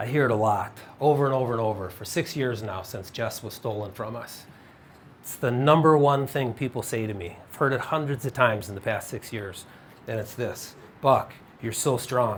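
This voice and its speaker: The man's voice is somewhat breathy, moving at a moderate pace with ordinary pitch variation. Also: medium pitch for a man, big swings in loudness. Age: 50s. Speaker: speaker sharing personal testimony of faith after tragedy. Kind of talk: faith-based talk / testimony to an audience.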